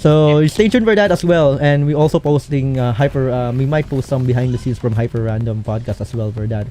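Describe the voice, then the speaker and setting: A man talks at a very fast pace, his pitch fairly high. His intonation is lively, with music playing in the background. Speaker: podcast host and rhythm game streamer. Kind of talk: casual podcast chat. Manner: halting, many fillers.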